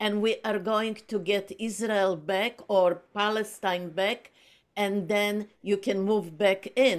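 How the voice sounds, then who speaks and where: A woman speaks at a medium pitch and a very slow pace. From Poland. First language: Polish. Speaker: book group speaker. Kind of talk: casual discussion on video call. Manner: halting, many fillers.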